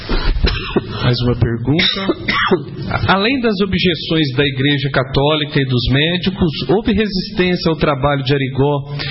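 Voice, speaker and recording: Over noticeable background noise, a man talks fairly slowly in a fairly high pitch with ordinary variation. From Minas Gerais, Brazil. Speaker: journalist interviewer. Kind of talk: casual interview. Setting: spiritist center with audience.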